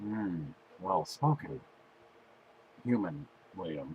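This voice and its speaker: A man puts on a character voice at a fairly low pitch. He speaks at a fairly slow pace with very wide pitch swings. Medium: solo performance. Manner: terse, deadpan, literal.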